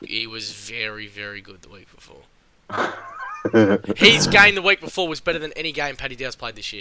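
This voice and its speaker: A raspy, shouted, put-on character voice at a fairly quick pace. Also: man, fairly high pitch for a man. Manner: yelling.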